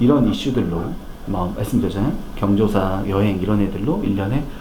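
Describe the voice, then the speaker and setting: Lively intonation comes through over noticeable background noise and audible room echo. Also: man. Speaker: financial planning lecturer. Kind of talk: lecture. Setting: corporate lecture hall. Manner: fast.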